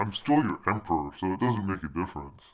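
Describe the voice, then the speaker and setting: A cartoonish character voice rattles along at a very fast pace. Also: man, very deep, low pitch for a man. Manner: smug.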